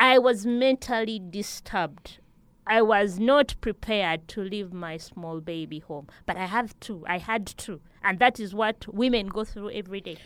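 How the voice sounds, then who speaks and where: Speaking at a moderate pace in a Ugandan accent, a woman with a medium-pitched voice sounds animated, with ordinary pitch variation and big swings in loudness. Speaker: daycare founder and farmer. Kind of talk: interview conversation. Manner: animated, talkative.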